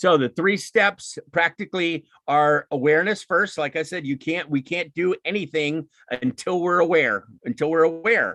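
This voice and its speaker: Dry and close with no echo, a man's bright, sharp voice moves at a fairly quick pace with lively intonation. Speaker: speaker on emotional intelligence. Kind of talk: lecture. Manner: fast; animated.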